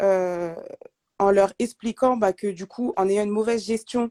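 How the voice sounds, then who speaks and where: A woman's dark, mellow voice at a medium pitch, fairly slow and fairly even, dry and close with no echo. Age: 30s. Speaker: budget coach. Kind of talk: live video chat interview.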